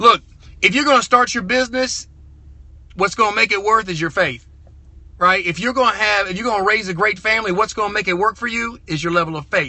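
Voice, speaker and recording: A man with a Southern US accent talks at a very fast pace in a high, animated voice. His pitch varies in an ordinary way. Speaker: car dealer and motivational speaker. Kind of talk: motivational livestream talk. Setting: live stream from a truck over Bluetooth.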